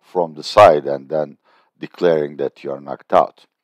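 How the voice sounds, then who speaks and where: A man with a Turkish accent, ordinary pitch variation, and a dry, close sound with no echo. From Turkey. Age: 60s. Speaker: political and economic analyst. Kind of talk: video commentary.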